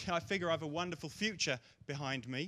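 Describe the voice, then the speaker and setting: Male speech with an English accent. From England, East London. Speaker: comedian. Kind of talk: stand-up.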